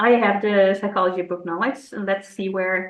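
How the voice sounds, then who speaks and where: A woman's fairly quick, monotone, flat delivery at a medium pitch, with a non-native accent. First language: not English. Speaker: psychologist. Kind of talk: interview. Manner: hesitant, with filler words.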